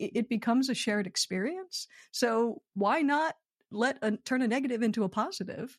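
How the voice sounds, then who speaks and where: Over a quiet background, a woman with an American accent speaks at a fairly high pitch with lively intonation. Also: moderate pace. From Philadelphia, US. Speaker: comedy writer. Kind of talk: interview conversation. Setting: video call. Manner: animated.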